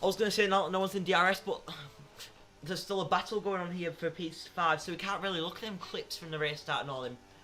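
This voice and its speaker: Someone speaks at a very fast pace in a raised, projected voice. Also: man, high pitch for a man. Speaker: sim racing commentator. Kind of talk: live commentary. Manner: animated.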